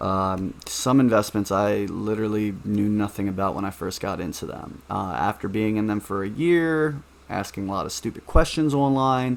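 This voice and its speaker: A man with an ordinary speaking voice talks at a moderate pace with a fairly low pitch. His intonation is lively, and he hardly pauses at all. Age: 20s. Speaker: investing vlogger. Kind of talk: casual vlog monologue.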